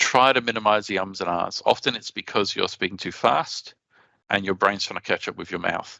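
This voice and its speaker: A bright, sharp voice with an Australian accent and ordinary pitch variation, in a dry, close sound with no echo against a quiet background. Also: man. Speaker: conference speaker. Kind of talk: conference presentation. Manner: fast.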